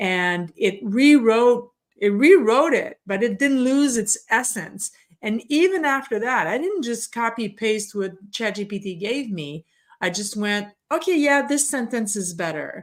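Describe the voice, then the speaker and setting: In a French Canadian accent, a woman with a fairly high pitch speaks at a fairly slow pace with very wide pitch swings. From Quebec. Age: 50s. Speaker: podcast host. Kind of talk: interview. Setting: video call.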